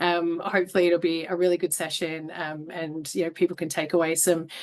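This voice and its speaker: A woman with an Australian accent talks at a fairly quick pace in a fairly low pitch. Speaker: HR business partner, webinar host. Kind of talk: webinar hosting.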